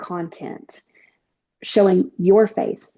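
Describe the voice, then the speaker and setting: Woman in a Southern US accent, medium pitch, fairly even intonation and a very slow pace. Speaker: network marketing distributor. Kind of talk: casual chat.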